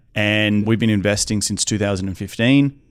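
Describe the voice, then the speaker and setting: A man with an Australian accent talks at a very fast pace in a fairly low pitch. The recording is very clean, with a silent background. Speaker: real estate investor. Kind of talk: podcast interview. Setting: studio.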